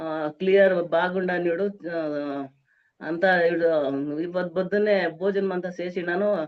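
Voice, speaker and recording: Her pitch sits fairly low for a woman. She keeps a fairly even intonation. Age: 60s. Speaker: wellness program participant. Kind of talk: testimonial. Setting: video recording. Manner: halting.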